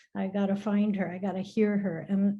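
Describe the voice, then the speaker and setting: Against a quiet background, a woman speaks at medium pitch and a moderate pace in a dark, mellow, somewhat breathy tone. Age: 60s. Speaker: retired educator, alumna. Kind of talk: personal testimony in a video call.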